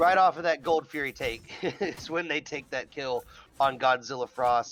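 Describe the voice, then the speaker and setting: A man's voice, an ordinary speaking voice, fairly high-pitched for a man, with ordinary pitch variation and a moderate pace. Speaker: esports caster. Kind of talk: live commentary.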